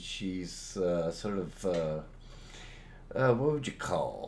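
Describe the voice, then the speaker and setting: A man speaks with audible room echo. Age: 60s. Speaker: animator and animation teacher. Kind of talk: tutorial.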